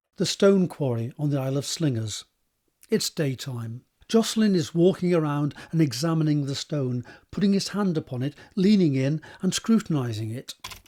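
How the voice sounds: A man's fairly high-pitched voice with a dark, mellow tone and lively intonation. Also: moderate pace.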